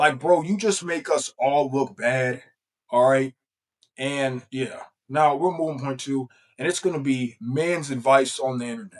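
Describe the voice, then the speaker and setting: A man with a fairly high pitch talks fairly slowly, varying his pitch in an ordinary way. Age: 20s. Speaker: YouTuber. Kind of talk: casual vlog commentary. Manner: casual, halting with fillers.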